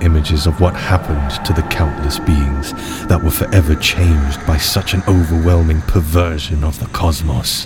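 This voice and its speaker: Over music in the background, a man talks in a very deep, low pitch with fairly even intonation. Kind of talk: guided meditation. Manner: slow, soothing and hypnotic, with calm, measured pacing; intimate and reassuring, addressing the listener directly.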